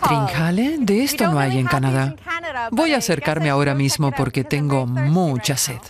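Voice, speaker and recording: Against noticeable background noise, a woman speaks at a very deep, low pitch with very even loudness. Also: lively intonation, moderate pace. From Canada. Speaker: tourist presenter. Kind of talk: travel vlog narration. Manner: animated.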